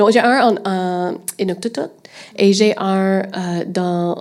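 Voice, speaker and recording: A woman with an English accent at medium pitch, intonation fairly even. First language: English (speaking French). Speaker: streaming podcast manager. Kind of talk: panel discussion. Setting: stage with audience. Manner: hesitant in French.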